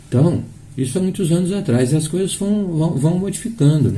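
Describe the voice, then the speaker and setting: Somewhat breathy and dark, mellow in tone, the voice carries lively intonation over audible room echo. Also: man. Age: 60s. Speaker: spiritist lecturer. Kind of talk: sermon. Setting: live stream of a public meeting. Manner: halting.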